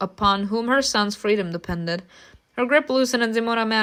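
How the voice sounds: The clip contains a natural reading voice.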